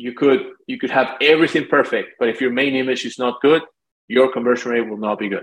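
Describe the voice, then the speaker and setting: A man with a Spanish accent talks at a very fast pace, his medium-pitched voice held in fairly even intonation. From Lima, Peru. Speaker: marketing agency founder. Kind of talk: interview.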